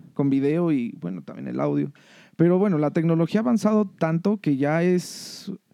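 With a Mexican accent, a man speaks at a high pitch in a dark, mellow tone, the sound dry and close with no echo. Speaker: podcast co-host. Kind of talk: casual chat.

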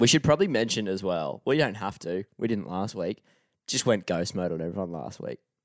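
A man with an Australian accent talks at a fairly low pitch, fairly quickly and with lively intonation. The recording is very clean, with a silent background. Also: dry, close sound with no echo. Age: 20s. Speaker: podcast co-host. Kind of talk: casual chat.

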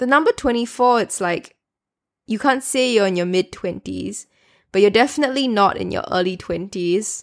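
A woman speaks in an ordinary speaking voice at a medium pitch, with lively intonation, on a very clean recording with a silent background. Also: moderate pace. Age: 20s. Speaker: solo podcast host. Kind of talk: personal reflective monologue. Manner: casual and rambling with fillers.

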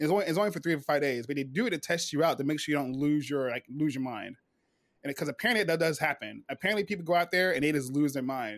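A man with an American accent, fairly high pitch and ordinary pitch variation, at a very fast pace on a very clean recording with a silent background. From New Jersey, then Florida from age nine. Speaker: retired Navy sailor, military veteran. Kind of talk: interview, personal testimony. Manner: halting, many restarts and fillers.

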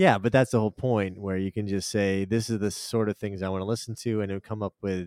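This is a plain, everyday voice: a man at fairly low pitch speaks at a fairly quick pace, the sound dry and close with no echo on a very clean recording with a silent background. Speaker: school technology director, podcast host. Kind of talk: casual chat, podcast conversation. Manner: joking, playful.

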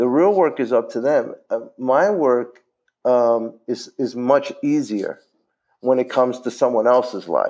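A man's dark, mellow voice at medium pitch and a fairly slow pace, with ordinary pitch variation and a quiet background. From New York, Puerto Rican family. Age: 50s. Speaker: social worker and firefighter. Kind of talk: interview, personal life story. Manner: halting, many fillers.

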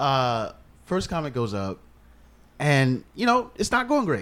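A man with a fairly high voice speaks in very wide pitch swings, leaving long, frequent pauses, on a very clean recording with a silent background. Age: 30s. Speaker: podcast host and comedian. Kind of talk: casual chat.

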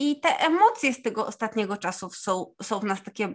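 A woman at a moderate pace. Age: 30s. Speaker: dog podcast co-host, works with dogs. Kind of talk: casual chat.

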